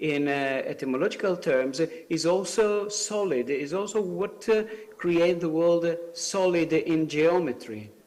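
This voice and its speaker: Audible room echo and noticeable background noise surround a man speaking at a high pitch. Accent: Italian. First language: Italian. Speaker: civil society representative. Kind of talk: conference speech. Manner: halting, many fillers.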